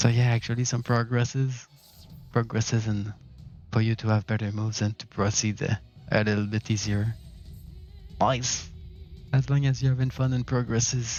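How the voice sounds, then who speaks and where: A man with a Quebec accent at a moderate pace, medium pitch and monotone, flat intonation, with long, frequent pauses and music in the background. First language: French. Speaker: gaming streamer. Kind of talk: live gaming stream chat.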